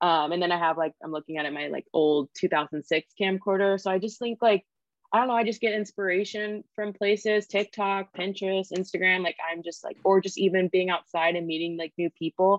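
Speaking fairly quickly with a Californian accent, a woman hardly pauses. Her voice sits at a medium pitch with fairly even intonation. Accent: Californian American. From Sacramento, California. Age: 20s. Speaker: filmmaker and photographer. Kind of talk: casual chat.

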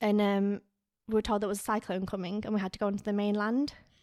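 A woman with a Lancashire accent at a very fast pace, medium in pitch, with monotone, flat intonation, on a very clean recording with a silent background. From northern England, Lancaster area. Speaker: podcast co-host. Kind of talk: casual chat.

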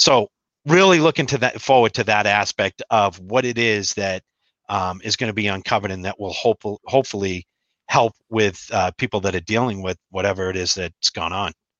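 A man's plain, everyday voice, fairly low in pitch with ordinary variation, at a fairly quick pace. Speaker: co-host. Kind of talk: casual chat.

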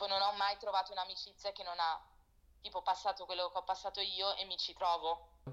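The words come at a fairly quick pace in a monotone, flat delivery. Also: woman, medium pitch for a woman. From Italy and Portugal, moved often, later London. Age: 20s. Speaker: fashion producer. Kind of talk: casual interview chat. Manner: halting.

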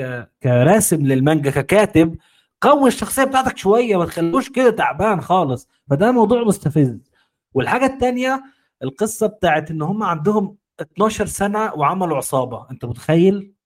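Moderate pacing from a man, high in pitch and swinging very widely up and down. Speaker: anime fan guest. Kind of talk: casual chat.

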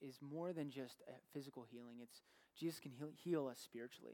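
A man talks with a dark, mellow tone. His pitch varies in an ordinary way. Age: 20s. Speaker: pastor. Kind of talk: sermon. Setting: church. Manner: halting.

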